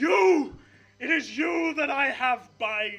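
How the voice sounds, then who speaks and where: A man's put-on character voice, extremely high in pitch, at a very slow pace. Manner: dramatic, accusing.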